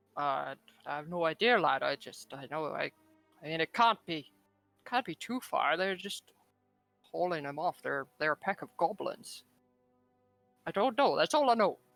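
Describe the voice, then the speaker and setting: A man's put-on character voice, high-pitched, at a moderate pace with long, frequent pauses and faint music in the background. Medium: actual play. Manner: excitable, rambling.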